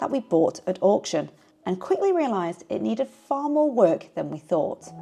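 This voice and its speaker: With a calm tone, a woman speaks at a moderate pace while her pitch swings very widely. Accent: Yorkshire. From Yorkshire, England. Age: 40s. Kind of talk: personal vlog narration. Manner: calm, reflective.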